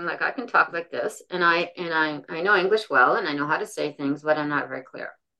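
A woman mumbles in a put-on character voice with a fairly low pitch and lively intonation. She keeps a moderate pace with hardly any pauses.

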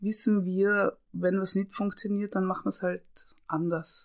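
A woman with an ordinary speaking voice talks at medium pitch and a moderate pace in a very clean recording with a silent background. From Austria, Tyrol. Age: 50s. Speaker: camerawoman and screenwriter. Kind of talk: interview.

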